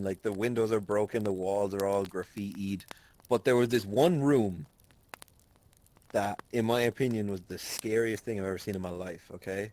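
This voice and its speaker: A man with an Irish accent speaks at a moderate pace. His pitch is fairly low, with ordinary pitch variation. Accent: Irish, milder than usual. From Ireland. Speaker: podcast co-host. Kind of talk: casual chat, storytelling.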